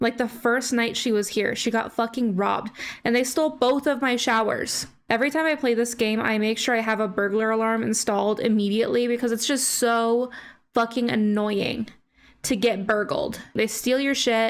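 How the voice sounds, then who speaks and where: A woman speaks at a moderate pace with fairly high pitch, fairly even intonation and very even loudness. The recording is very clean, with a silent background. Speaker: gaming YouTuber. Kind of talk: gameplay commentary. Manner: casual, chatty.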